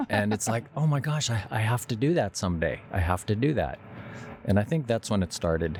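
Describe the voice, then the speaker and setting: A somewhat breathy man with a medium pitch talks at a fairly quick pace, his intonation lively and his loudness very even. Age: 70s. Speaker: sailor and adventurer. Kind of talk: interview storytelling.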